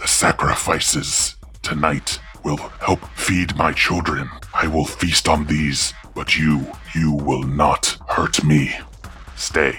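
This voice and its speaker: Clear music plays in the background. A man uses a put-on character voice at a very slow pace. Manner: menacing, commanding.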